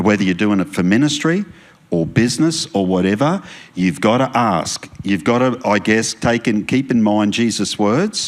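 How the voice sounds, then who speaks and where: With an Australian accent, a man speaks at a fairly low pitch and a moderate pace. His intonation is lively, and his loudness stays very even. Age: 60s. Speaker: pastor. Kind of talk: marriage Q&A talk in church service.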